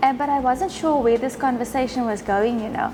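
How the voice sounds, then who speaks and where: A high-pitched woman's voice in a South African accent, with noticeable background noise. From South Africa, Western Cape rural town. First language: Afrikaans. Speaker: winemaker. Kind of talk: casual interview over wine tasting.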